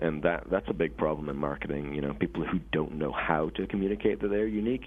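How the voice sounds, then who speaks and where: A man talks at a very fast pace with very wide pitch swings. His pitch is very deep and low. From Scotland. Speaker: software company co-founder. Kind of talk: interview.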